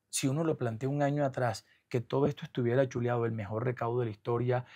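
A man's medium-pitched voice in a flat monotone, on a very clean recording with a silent background. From Colombia, Caribbean coast (Atlántico). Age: 40s. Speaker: government comptroller. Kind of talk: interview.

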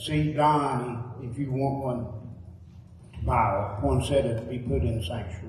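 A man's voice comes through with audible room echo and light background noise. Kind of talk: church announcements. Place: church.

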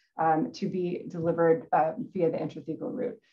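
A woman's somewhat breathy voice. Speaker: neurosurgeon giving a lecture. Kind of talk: technical medical lecture. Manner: fast talker.

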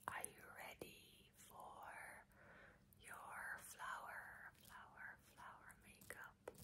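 A woman is whispering at a very slow pace. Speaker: ASMR creator. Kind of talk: ASMR role play. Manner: whispered. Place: home room. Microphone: earbuds.

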